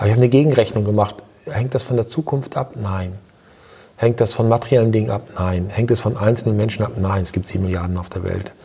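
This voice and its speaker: Somewhat breathy and very fast, a man talks with a dark, mellow tone at a fairly low pitch and ordinary pitch variation. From East Frisia, northern Germany. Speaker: hotel entrepreneur. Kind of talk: interview. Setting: recorded in person at a seminar. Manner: reflective, with filler hesitations.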